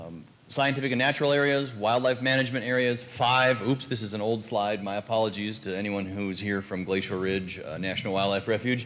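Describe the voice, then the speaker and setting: A man with a fairly low pitch talks at a fairly quick pace with hardly any pauses and ordinary pitch variation. Audible room echo and noticeable background noise surround him. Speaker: university professor. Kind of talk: panel presentation. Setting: conference panel. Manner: fast.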